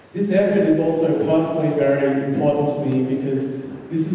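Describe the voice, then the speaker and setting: Against noticeable background noise, a man talks fairly quickly at a fairly high pitch. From Australia. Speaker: political activist. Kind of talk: rally speech.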